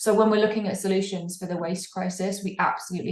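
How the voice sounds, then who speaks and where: With an English accent, a woman speaks at a very fast pace in a somewhat breathy, fairly low voice with monotone, flat intonation and audible room echo. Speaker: fair fashion campaigner. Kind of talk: podcast interview. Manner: halting, frequent repetitions.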